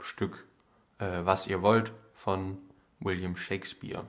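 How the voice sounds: A man's voice sits low in pitch, with a fairly bright tone.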